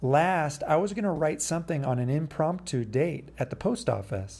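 Lively intonation from a man with a fairly high, somewhat breathy voice. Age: 40s. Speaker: poet and podcast host. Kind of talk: solo podcast monologue with poetry readings. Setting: home recording. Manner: rambling, halting with fillers.

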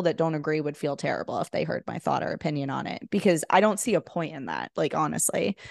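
In a dry, close sound with no echo and a quiet background, a woman uses an unremarkable speaking voice at a fairly quick pace. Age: 40s. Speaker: online entrepreneur. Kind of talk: casual chat.

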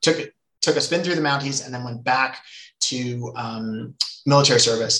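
Bright and sharp in tone, a man with a western Canadian accent speaks at a moderate pace in a medium pitch. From Canada, British Columbia (Nelson). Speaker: economist, former college football player. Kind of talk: interview.

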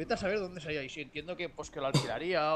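A man talks at a very fast pace. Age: 30s. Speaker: podcast co-host and intro narrator. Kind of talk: casual chat.

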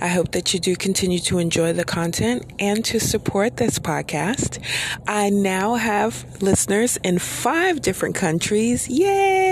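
A woman's fairly slow, lively-intoned speech at very even loudness, over noticeable background noise. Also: medium pitch for a woman. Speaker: solo podcast host and author. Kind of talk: solo monologue podcast. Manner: laid back, slow; filler words, says um often.

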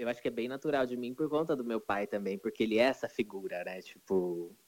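Here a man with a medium pitch and ordinary pitch variation talks at a moderate pace in an ordinary speaking voice. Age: 20s. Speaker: singer. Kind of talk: casual chat.

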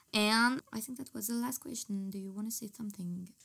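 A woman with a French accent speaks at a moderate pace, her fairly high pitch showing ordinary variation. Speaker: podcast host. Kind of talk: casual chat; scripted intro.

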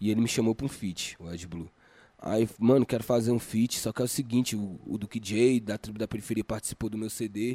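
Over a very clean recording with a silent background, a man speaks at a fairly quick pace in a fairly low voice with a dark, mellow tone and fairly even intonation, with a dry, close sound with no echo. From Brazil, Federal District area (Planaltina). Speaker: rapper and music producer. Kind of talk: casual interview. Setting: studio.

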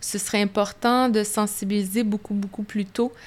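A woman speaks in a flat monotone over noticeable background noise. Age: 50s. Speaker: business executive. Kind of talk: interview. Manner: halting.

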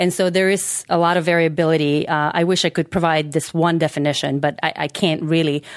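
A woman with a Macedonian accent, fairly low-pitched, in a monotone, flat intonation at very even loudness, with hardly any pauses. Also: fairly quick pace. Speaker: sex researcher, psychologist. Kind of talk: interview.

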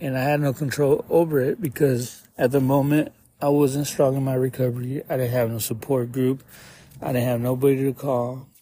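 A man with an American accent speaks at a moderate pace and a medium pitch, with fairly even intonation. His tone is dark and mellow, and somewhat breathy. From Arizona, Tucson. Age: 30s. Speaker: podcaster in addiction recovery. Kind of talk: personal testimony. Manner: halting.

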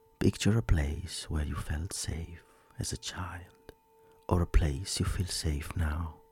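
Very deep and low, a man's somewhat breathy voice has a gentle, soothing tone. He speaks at a very slow pace with ordinary pitch variation. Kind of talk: guided meditation. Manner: slow, soothing and calm, with long pauses between instructions; soft-spoken, gentle and reassuring.

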